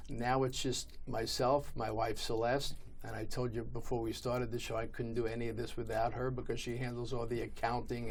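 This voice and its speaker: A man's medium-pitched voice at a moderate pace, monotone and flat in intonation, with audible room echo. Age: 60s. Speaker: ticket broker. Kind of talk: interview.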